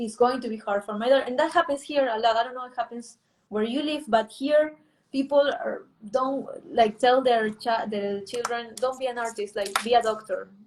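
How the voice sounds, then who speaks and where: Speaking in a Spanish accent, a woman uses a high pitch with ordinary pitch variation. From Peru, Lima. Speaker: artist and illustrator. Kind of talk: interview conversation. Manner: halting.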